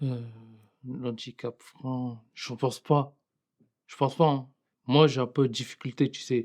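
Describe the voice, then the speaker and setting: Very slow and marked by long, frequent pauses, a man at medium pitch speaks in a monotone, flat way with big swings in loudness. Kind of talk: testimony. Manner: halting, voice blocks when speaking.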